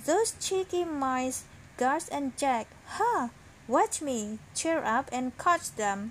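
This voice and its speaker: Using a put-on character voice, a woman hisses in a high pitch at a very slow pace over clear background noise. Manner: hissing, sly, scheming.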